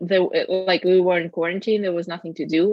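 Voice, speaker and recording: A woman speaks with a Russian accent. Her pitch is medium. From Russia, Moscow. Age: 20s. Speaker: podcast co-host. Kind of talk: casual chat. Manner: hesitant, many fillers.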